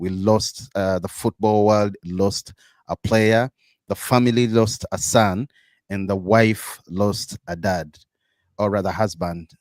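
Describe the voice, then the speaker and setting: This man speaks at a fairly low pitch. His pace is very slow. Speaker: football podcast host. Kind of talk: casual chat.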